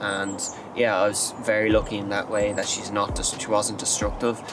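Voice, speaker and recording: A man talks at a moderate pace in a fairly low voice over noticeable background noise. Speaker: dog owner. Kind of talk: casual talk to camera.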